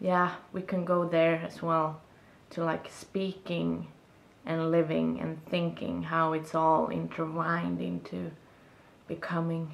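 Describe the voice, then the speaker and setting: With a Swedish accent, a woman talks at a very slow pace. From Sweden. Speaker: video blogger. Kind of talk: casual monologue vlog. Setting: self-recorded video. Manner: reflective, halting. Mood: reflective, warm. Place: home room. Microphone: camera far.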